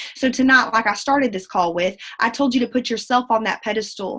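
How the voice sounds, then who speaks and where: In a Southern US accent, a woman speaks at a high pitch. Her tone is animated. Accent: southern drawl. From Central Texas. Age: 20s. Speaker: network marketing leader. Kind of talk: motivational talk. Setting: video call.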